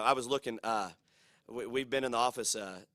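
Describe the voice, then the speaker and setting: A man speaks with a bright, sharp tone, the sound dry and close with no echo. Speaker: college football head coach. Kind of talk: press conference. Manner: fast-talking; energetic, with many fillers and repetitions.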